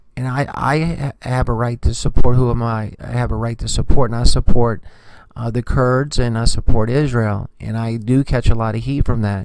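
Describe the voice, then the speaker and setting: A soft-spoken man's medium-pitched voice, with fairly even intonation, big swings in loudness and a moderate pace. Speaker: news commentary vlogger. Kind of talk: casual news commentary vlog. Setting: remote location away from home. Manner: hesitant, many filler words.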